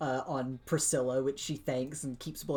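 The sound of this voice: Fairly even intonation runs through this unforced reading voice.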